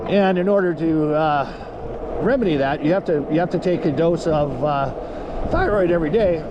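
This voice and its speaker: Speaking at a moderate pace in a high voice with ordinary pitch variation and very even loudness, a man is heard against noticeable background noise and audible room echo. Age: 60s. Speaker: vlogger. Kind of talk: casual vlog monologue. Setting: outdoors on e-bike ride. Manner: halting, many fillers.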